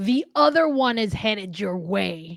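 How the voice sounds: Shouting in a put-on character voice, a female-sounding speaker at a medium pitch goes at a fairly slow pace.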